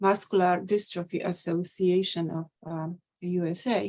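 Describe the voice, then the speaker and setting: A woman at a medium pitch and fairly slow pace, with a Polish accent. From Poland. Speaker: poet and translator. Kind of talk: poetry reading presentation.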